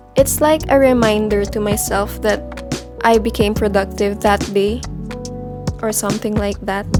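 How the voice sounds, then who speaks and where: A woman talks at a fairly slow pace while music runs in the background. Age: young. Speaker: college student. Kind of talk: casual tutorial talk to camera.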